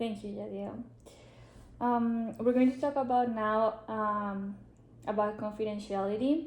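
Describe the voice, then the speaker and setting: Fairly slow speech from a woman with a fairly high pitch and fairly even intonation, with audible room echo. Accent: Spanish. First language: Spanish. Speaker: social work student. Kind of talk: role-play counseling session.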